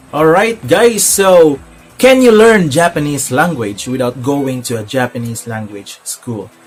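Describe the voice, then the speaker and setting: Over music in the background, a man with a fairly high pitch talks at a fairly slow pace with very wide pitch swings. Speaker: vlogger sharing language learning tips. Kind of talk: casual tutorial vlog. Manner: hesitant, many filler sounds.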